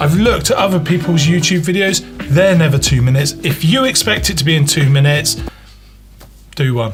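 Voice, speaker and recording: Music plays in the background. The speech moves at a fairly quick pace with very wide pitch swings. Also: man. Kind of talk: casual banter to camera.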